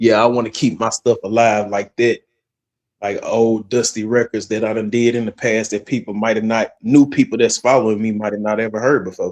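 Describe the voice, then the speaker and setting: A man with a Southern US accent speaks fairly quickly at medium pitch. His intonation is monotone and flat, and the sound is dry and close with no echo. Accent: Southern, country. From West Tennessee (Jackson). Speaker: rapper, radio founder. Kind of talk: casual chat.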